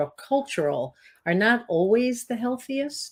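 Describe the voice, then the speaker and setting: On a very clean recording with a silent background, a woman speaks with very wide pitch swings. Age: 60s. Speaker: health coach and weight loss business co-founder. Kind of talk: interview conversation.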